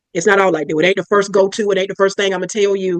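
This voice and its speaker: A woman is speaking. Her pitch is medium. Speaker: psychiatric nurse practitioner. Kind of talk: interview. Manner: loud.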